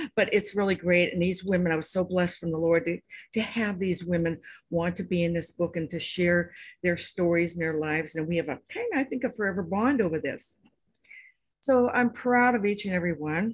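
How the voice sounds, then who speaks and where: The speaker goes at a fairly quick pace, somewhat breathy, with ordinary pitch variation. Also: woman, fairly low pitch for a woman. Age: 70s. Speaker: author and anthology compiler. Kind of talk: speech to an online audience. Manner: enthusiastic.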